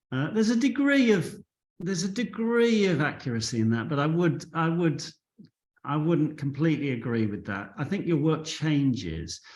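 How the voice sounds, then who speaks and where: Audible room echo carries a man's fairly high voice as it moves at a moderate pace through very wide pitch swings. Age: 60s. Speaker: photographer. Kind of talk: interview.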